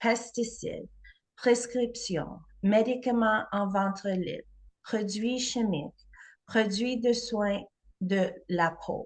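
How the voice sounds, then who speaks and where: Speaking at a very slow pace, a woman with a non-native accent has a fairly high pitch. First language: not French (speaking French). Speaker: holistic health practitioner. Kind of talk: presentation.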